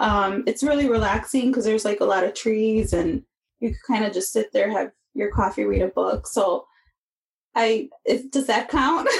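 A woman with an American accent speaks at a moderate pace, somewhat breathy, with fairly high pitch, ordinary pitch variation and very even loudness. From US Midwest, Chicago. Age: 30s. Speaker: podcast host and counseling student. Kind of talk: interview testimony.

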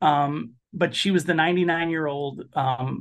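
A man with an American accent and a fairly high voice speaks at a fairly slow pace. His pitch varies in an ordinary way against a quiet background. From Chicago, US. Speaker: documentary filmmaker. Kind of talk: interview conversation.

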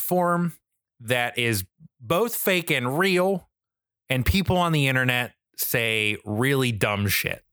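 On a very clean recording with a silent background, a man with an American accent speaks in a medium pitch, with a bright, sharp tone and lively intonation. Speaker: podcast host, wrestling fan. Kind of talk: casual chat. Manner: animated, enthusiastic.

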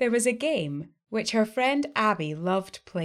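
Lively intonation in a natural reading voice, with a quiet background

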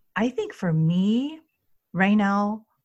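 Somewhat breathy and in a Chinese accent, a woman speaks at a very slow pace with lively intonation. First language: Mandarin Chinese. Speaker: Chinese language teacher and consultant. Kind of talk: interview.

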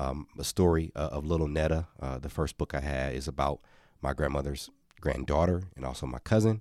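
In an American accent, a man with a very deep, low pitch and vocal fry talks at a fairly quick pace with ordinary pitch variation, recorded very cleanly against a silent background. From Milwaukee, Wisconsin, US. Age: 40s. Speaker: children's author, former mascot. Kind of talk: interview.

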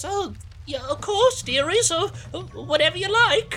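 A put-on character voice at a fairly slow pace over clear background noise. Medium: actual play. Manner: warm, doting.

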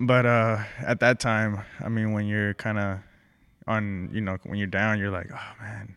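With a Spanish accent, a man talks at a fairly slow pace in a monotone, flat intonation. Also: fairly low pitch for a man. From Mexico, raised in Texas. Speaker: print shop owner. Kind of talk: casual interview.

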